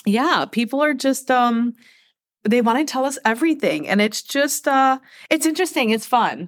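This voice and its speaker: A woman with a Midwestern US accent, high in pitch, at a moderate pace, with ordinary pitch variation and very even loudness. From Michigan, US. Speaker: podcast co-host, mom. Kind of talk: casual chat.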